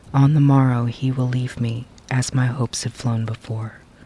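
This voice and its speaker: A soft-spoken man at medium pitch, moderate pace, fairly even intonation. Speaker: storyteller. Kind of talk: ASMR poetry reading. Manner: quiet, soft-spoken.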